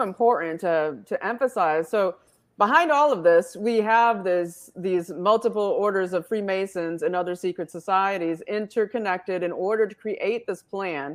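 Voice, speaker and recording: In an American accent, a woman with an unremarkable speaking voice and medium pitch talks at a moderate pace with hardly any pauses, on a very clean recording with a silent background. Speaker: online talk show host. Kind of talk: interview.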